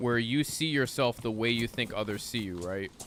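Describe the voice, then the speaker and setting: A man talks at a moderate pace in a plain, everyday voice. His pitch sits in the medium range and moves in an ordinary way. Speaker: gaming streamer. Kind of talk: casual chat.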